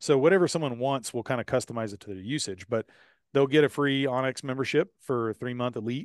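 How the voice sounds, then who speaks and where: A man with a Texan accent talks at a very fast pace and medium pitch, with ordinary pitch variation and big swings in loudness. The sound is dry and close with no echo, over a quiet background. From Texas, Houston area. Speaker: rancher and podcast host. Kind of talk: interview. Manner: casual with many fillers.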